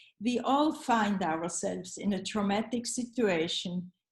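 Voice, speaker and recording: A woman speaks with a Swiss German accent. Her somewhat breathy voice moves at a very slow pace. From Switzerland, Zurich. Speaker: psychoanalyst and art therapist. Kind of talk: reading a paper. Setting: video call.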